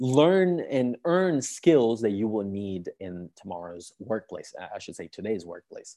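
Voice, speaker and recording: A man with a dark, mellow tone speaks at a moderate pace. His pitch swings very widely over a quiet background. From Sicily, southern Italy. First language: Italian. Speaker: university admissions counselor. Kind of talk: online workshop presentation. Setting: live online webinar, at home on couch. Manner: animated, filler-heavy.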